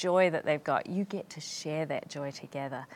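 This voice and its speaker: A woman with a New Zealand accent speaks at a moderate pace with lively intonation. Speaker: physician and missionary. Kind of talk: interview.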